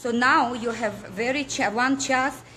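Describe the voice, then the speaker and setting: A high-pitched woman with a non-native accent at a fairly slow pace, with noticeable background noise. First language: not English. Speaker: political activist. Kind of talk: impassioned appeal to viewers. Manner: halting, with stumbles and repetitions.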